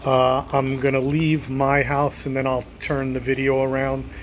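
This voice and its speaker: A man talks at a fairly slow pace in a medium pitch with monotone, flat intonation against noticeable background noise. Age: 50s. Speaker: vlogger. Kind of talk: casual chat. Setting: outdoors. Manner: conversational.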